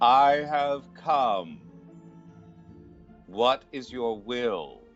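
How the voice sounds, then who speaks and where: A man shouts in a booming, put-on character voice at a medium pitch, with lively intonation. Faint music plays in the background. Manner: shouting, commanding.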